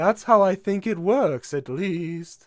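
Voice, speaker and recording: A man talks in a put-on character voice. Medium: read story. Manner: casual, chatty.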